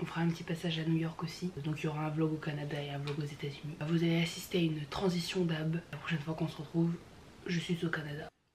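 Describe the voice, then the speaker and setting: A woman whispers at a very fast pace. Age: 20s. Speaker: vlogger. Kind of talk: casual vlog chat. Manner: whispering.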